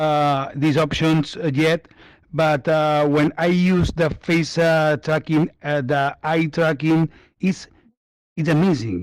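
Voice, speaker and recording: A man with a Spanish accent speaks at a very slow pace, his voice fairly high in pitch, with fairly even intonation and very even loudness, on a very clean recording with a silent background. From Spain. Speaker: virtual reality user. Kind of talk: casual group chat. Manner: halting.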